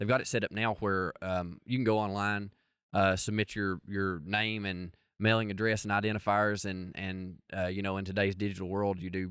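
In an Appalachian accent, a man speaks at a moderate pace with a fairly low pitch and monotone, flat intonation. The recording is very clean, with a silent background. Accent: Appalachian Southern US. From Appalachian Virginia. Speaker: coon hunter and breed association representative. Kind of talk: casual interview.

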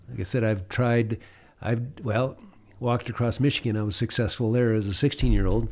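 Fairly quick and fairly even in intonation, a man speaks in an unremarkable speaking voice. The recording is very clean, with a silent background. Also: medium pitch for a man. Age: 60s. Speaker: pilot and adventurer. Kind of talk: casual interview telling stories.

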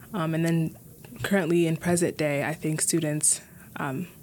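A woman with an American accent speaks at a fairly low pitch. Her delivery is moderately paced, with monotone, flat intonation. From US Midwest, Minneapolis. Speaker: student association president. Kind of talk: casual chat.

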